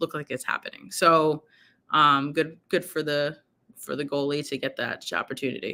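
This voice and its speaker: The speech moves at a fairly slow pace. It comes with a New York accent. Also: woman. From New York, Brooklyn. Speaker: sports journalist. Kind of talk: casual chat. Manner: hesitant, many fillers.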